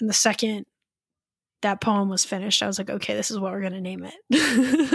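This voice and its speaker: This woman has an American accent and a medium pitch with ordinary pitch variation. Vocal fry runs through her speech at a fairly quick pace. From US East Coast. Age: 20s. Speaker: poet and college professor. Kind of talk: interview.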